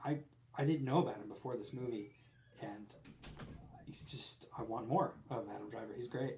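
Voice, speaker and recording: A man's medium-pitched voice, dark and mellow in tone, with vocal fry, a moderate pace and long, frequent pauses. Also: ordinary pitch variation, big swings in loudness. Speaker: podcast co-host. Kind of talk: casual chat. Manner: halting, stumbling over words.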